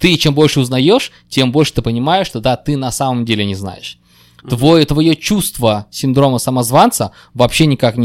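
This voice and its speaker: Recorded very cleanly against a silent background, with a dry, close sound and no echo, a man at medium pitch speaks at a moderate pace with lively intonation. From Kyrgyzstan. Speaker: IT guest. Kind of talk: casual chat. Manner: halting, repeats words.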